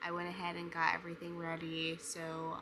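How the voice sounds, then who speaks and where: A soft-spoken woman at a fairly low pitch, against noticeable background noise. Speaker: writing vlogger. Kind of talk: casual vlog. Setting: at home.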